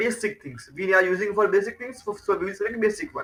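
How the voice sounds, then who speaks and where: Raising and projecting his voice, a man talks at a fairly quick pace with a high pitch and lively intonation. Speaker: IT trainer. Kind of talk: tutorial.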